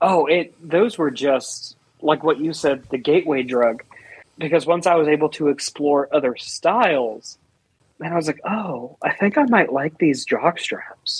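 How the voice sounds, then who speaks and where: A normal speaking voice from a man, fairly high in pitch, fairly slow, with ordinary pitch variation. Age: 20s. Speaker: IT worker and social media personality. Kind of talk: casual chat.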